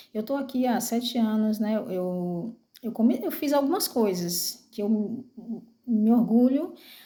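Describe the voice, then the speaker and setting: At a very slow pace, a woman with a fairly high pitch and a dark, mellow tone speaks with ordinary pitch variation. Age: 40s. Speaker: vlogger. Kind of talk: personal testimony. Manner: halting, many fillers.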